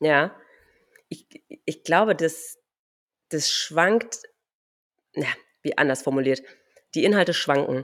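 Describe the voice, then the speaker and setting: A woman's very deep, low voice with ordinary pitch variation, at a very slow pace with long, frequent pauses. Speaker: podcast host. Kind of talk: casual chat.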